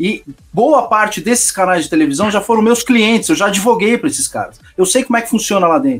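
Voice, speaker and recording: A man speaks at a high pitch and a fairly quick pace, with lively intonation. Music plays in the background. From Brazil, São Paulo. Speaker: lawyer and political channel host. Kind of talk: heated debate. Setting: online livestream panel.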